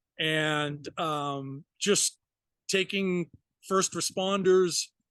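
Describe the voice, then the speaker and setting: In a Massachusetts accent, a man speaks in a high pitch with fairly even intonation, the sound dry and close with no echo over a quiet background. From Massachusetts, US. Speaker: retired firefighter and fishing charter captain. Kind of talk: casual interview.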